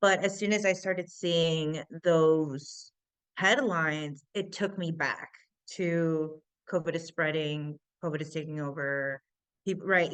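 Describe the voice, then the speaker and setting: Speaking very slowly, a woman uses an American accent. Her voice is fairly low, with ordinary pitch variation. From US Midwest, Chicago. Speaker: tech entrepreneur. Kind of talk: interview.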